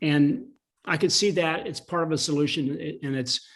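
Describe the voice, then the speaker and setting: On a very clean recording with a silent background, a man with an American accent speaks fairly quickly at a fairly high pitch. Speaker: attorney and animal policy lobbyist. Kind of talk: panel interview. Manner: fast.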